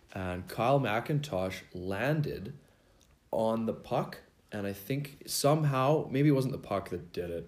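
Amid audible room echo, a man talks at a fairly slow pace and medium pitch with lively intonation. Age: 20s. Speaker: beer league hockey player. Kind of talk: casual chat. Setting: home garage.

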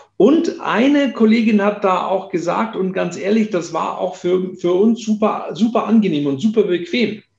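The man's pitch is high and his intonation lively. He talks at a moderate pace with hardly any pauses. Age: 50s. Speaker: company founder. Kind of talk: interview.

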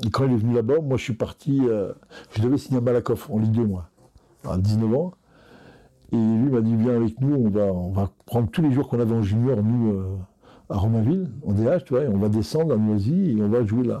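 In a normal speaking voice, a man talks at a moderate pace. His pitch sits in the middle and varies in an ordinary way. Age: 60s. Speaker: football coach. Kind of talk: interview.

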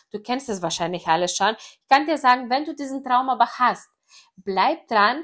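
A woman's high, lively voice in a Greek accent, on a very clean recording with a silent background. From Greece. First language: Greek (speaking German). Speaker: network marketer. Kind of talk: personal story monologue. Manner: casual with many fillers.

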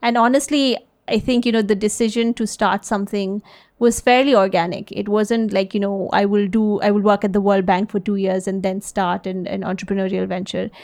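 A woman with an unremarkable speaking voice talks at a fairly quick pace. Her pitch is medium and her intonation fairly even. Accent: American. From US, early childhood in Delhi. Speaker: social enterprise CEO. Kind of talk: interview. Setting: podcast.

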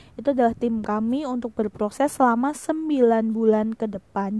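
A woman's fairly high-pitched voice, dark and mellow in tone, with fairly even intonation at a moderate pace. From Indonesia, Semarang (Central Java). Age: 20s. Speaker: teacher. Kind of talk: casual podcast monologue.

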